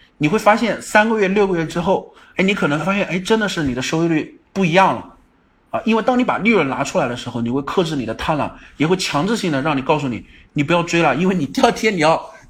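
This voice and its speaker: Talking very fast with lively intonation, a man speaks at a high pitch. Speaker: stock market livestream host. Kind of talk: livestream market commentary. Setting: online livestream. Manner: frequent filler particles.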